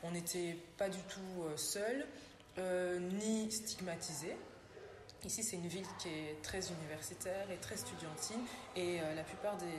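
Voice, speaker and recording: A woman with a medium pitch and fairly even intonation speaks at a fairly slow pace, leaving long, frequent pauses. Noticeable background noise runs underneath. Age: young. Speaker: human resources professional. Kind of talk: interview answer.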